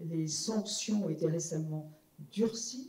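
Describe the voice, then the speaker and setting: A woman speaks at a very slow pace. There is audible room echo. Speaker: law professor, former MP; panel member. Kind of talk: public conference talk. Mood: serious, measured. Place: hall.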